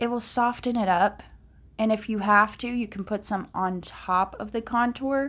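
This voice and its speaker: Speaking at a moderate pace, a woman uses a fairly high pitch and fairly even intonation. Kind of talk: makeup tutorial talk to camera. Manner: casual, hesitant.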